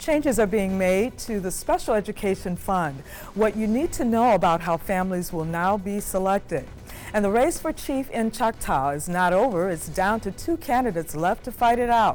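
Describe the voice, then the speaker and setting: Music plays in the background as a woman with a medium-pitched voice speaks with lively intonation. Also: moderate pace. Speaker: news anchor. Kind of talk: TV news anchor read.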